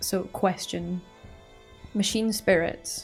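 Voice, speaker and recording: Over music in the background, a woman speaks in a Scottish accent with monotone, flat intonation. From Scotland. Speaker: YouTube reaction creator. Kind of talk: casual talk to camera.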